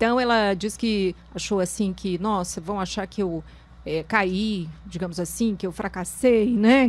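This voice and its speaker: A woman with an unremarkable speaking voice talks at medium pitch and a moderate pace with fairly even intonation. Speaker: talk show host. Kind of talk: talk show interview.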